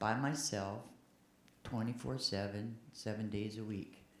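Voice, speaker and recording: A woman's voice carries audible room echo. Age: 70s. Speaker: church member speaking at a congregational meeting. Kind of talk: open-floor comment at a church meeting. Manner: halting, with repeated words.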